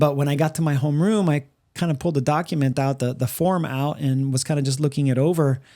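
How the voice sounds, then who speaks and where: A man with a Spanish accent speaks very fast at a fairly high pitch, his tone dark and mellow. His loudness stays very even, his intonation fairly even, and the recording is very clean with a silent background. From Puerto Rico. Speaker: podcast co-host. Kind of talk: casual chat. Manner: halting, many fillers and repeats.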